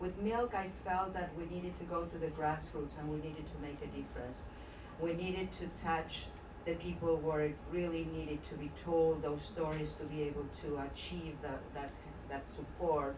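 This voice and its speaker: Noticeable background noise runs under the recording. The speaker has an Argentine accent. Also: moderate pace. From Argentina. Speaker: documentary filmmaker. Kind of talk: panel speech. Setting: event on Parliament Hill. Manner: halting, with many fillers.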